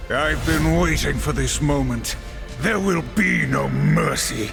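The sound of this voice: A put-on character voice with vocal fry and ordinary pitch variation talks at a slow pace over clear music in the background. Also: man, fairly high pitch for a man.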